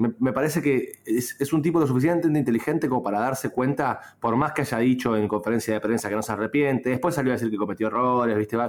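Recorded very cleanly against a silent background, a man with a medium pitch talks at a very fast pace with hardly any pauses, very even loudness and ordinary pitch variation. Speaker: sports podcast co-host. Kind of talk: casual sports chat. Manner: soft-spoken.

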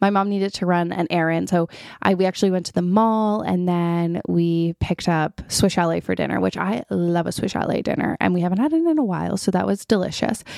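A woman with a Canadian accent speaks at a fairly quick pace with hardly any pauses, in an animated tone at a fairly low pitch. The recording is very clean, with a silent background. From Ontario, Canada. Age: 30s. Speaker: podcast host. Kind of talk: casual monologue.

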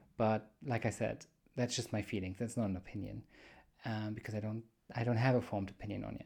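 A man with a German accent speaks at a very fast pace, monotone and flat, with vocal fry. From Germany. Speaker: podcast host. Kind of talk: solo monologue podcast. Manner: casual, with frequent fillers.

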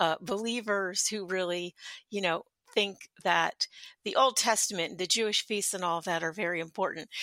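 Recorded very clean against a silent background, a woman's bright, sharp voice comes through dry and close with no echo at a moderate pace. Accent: American. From Philadelphia. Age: 50s. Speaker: podcast host. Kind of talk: casual interview chat.

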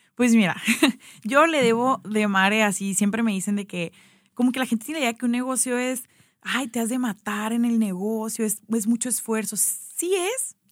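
A woman speaks at a moderate pace with a fairly high pitch and ordinary pitch variation. She has a plain, everyday voice. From Mexico, Sonora (Hermosillo). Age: 30s. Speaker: pastry business founder. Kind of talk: casual interview. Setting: radio studio.

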